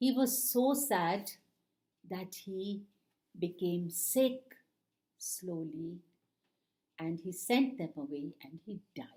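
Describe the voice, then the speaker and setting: A woman with an Indian accent speaks at a very slow pace with long, frequent pauses. Her medium-pitched voice is dark, mellow and somewhat breathy, with lively intonation. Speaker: retired kindergarten teacher. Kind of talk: children's storytelling.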